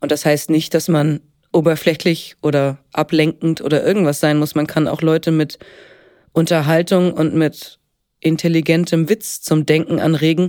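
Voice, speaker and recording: A woman talks at a moderate pace in a very deep, low pitch with a dark, mellow tone. Her intonation is monotone and flat, and her loudness stays very even. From Upper Franconia, Bavaria (Helmbrechts near Hof). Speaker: actress and singer. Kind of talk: casual interview. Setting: studio.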